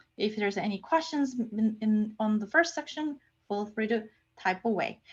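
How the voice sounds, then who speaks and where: This woman has a non-native accent and a medium pitch. Her intonation is lively. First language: not English. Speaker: research scientist and lecturer. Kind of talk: lecture. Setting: online lecture. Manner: casual, with frequent fillers and repetitions.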